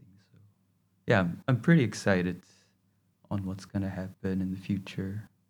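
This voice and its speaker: A man's very deep, low voice with a Korean accent. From South Korea. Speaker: fashion design graduate. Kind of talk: interview. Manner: halting.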